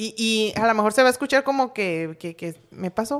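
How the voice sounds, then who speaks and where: A woman speaks in an unremarkable speaking voice, fairly high in pitch, with lively intonation. The recording is very clean, with a silent background. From Sinaloa, Mexico. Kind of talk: casual chat.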